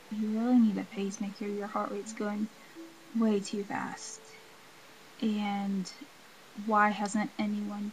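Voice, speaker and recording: Noticeable background noise behind a fairly slow woman's voice, fairly high in pitch. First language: not English. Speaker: video blogger with a heart condition. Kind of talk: casual vlog. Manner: filled with ums and likes.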